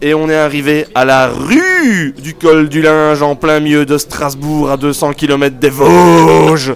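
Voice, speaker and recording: Over noticeable background noise, a man talks at a very slow pace, his fairly high pitch held in fairly even intonation. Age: 20s. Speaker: non-geek roommate segment regular. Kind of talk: comic rant. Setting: live recording with audience.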